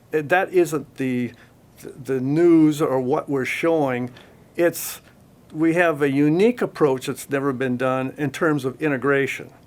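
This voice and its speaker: A man with an American accent speaks at a fairly slow pace in a fairly high pitch, with ordinary pitch variation and a plain, everyday voice. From US, Oregon. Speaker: audio company marketing director. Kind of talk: interview. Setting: audio store.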